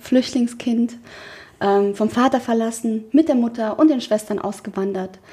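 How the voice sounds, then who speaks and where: A woman's fairly high-pitched voice at a moderate pace, an ordinary speaking voice with ordinary pitch variation. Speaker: podcast co-host, founder. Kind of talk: casual chat.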